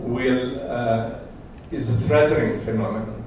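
A man speaks in a room with strong echo. Light background noise can be heard. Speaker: academic audience member; audience member. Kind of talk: academic discussion. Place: classroom.

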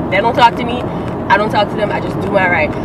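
A woman's voice comes through loud background noise with a dry sound and no echo. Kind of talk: casual vlog chat. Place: car. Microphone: phone near.

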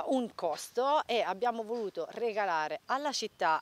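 With lively intonation, a woman talks in a dry sound with no echo. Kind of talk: interview answer. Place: open country. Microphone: handheld.

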